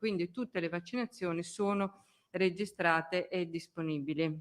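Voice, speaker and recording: Her pitch is medium for a woman, and she speaks at a moderate pace with ordinary pitch variation. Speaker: public health official. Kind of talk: press conference briefing. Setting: press conference room. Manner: hesitant, with fillers.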